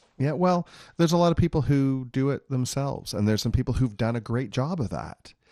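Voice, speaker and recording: Fairly quick male speech at a medium pitch, an unremarkable speaking voice with ordinary pitch variation, over a quiet background. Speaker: financial advisor. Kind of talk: radio talk show discussion. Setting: studio. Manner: explanatory.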